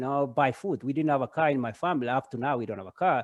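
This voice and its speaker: A man talks at a very fast pace. His intonation is lively. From Kenya. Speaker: parent and running coach. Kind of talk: casual chat. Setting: video call. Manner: halting, many fillers.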